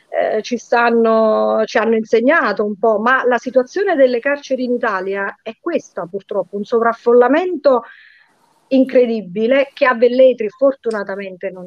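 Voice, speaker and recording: A woman talks at a moderate pace in a plain, everyday voice, her pitch fairly high and its variation ordinary. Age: 50s. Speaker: lawyer. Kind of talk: interview.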